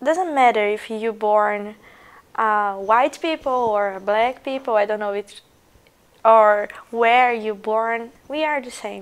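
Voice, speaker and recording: This woman talks in a Portuguese accent with a fairly high voice. She speaks at a very slow pace. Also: ordinary pitch variation, big swings in loudness. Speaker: international student. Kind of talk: documentary interview.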